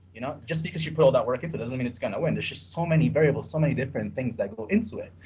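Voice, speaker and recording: Over noticeable background noise, a man with a fairly high pitch talks at a very fast pace with lively intonation. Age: 30s. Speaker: sports bettor. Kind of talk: podcast interview.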